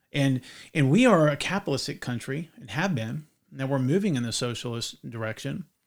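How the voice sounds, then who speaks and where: Speaking at a fairly quick pace with a slight Southern US accent, a man with a fairly high pitch uses lively intonation and big swings in loudness on a very clean recording with a silent background. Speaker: podcast host. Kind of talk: casual chat.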